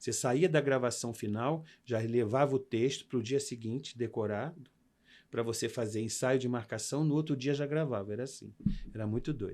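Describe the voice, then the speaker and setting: A man talks at a moderate pace and medium pitch with ordinary pitch variation, on a very clean recording with a silent background. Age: 60s. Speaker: actor and makeup artist. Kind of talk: interview. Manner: animated.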